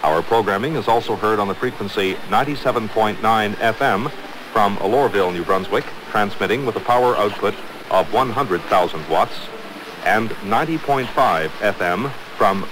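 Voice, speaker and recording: A man talks with ordinary pitch variation. The sound is dry with no echo, but background noise is noticeable. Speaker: radio station announcer. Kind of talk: formal station identification announcement. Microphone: old recording.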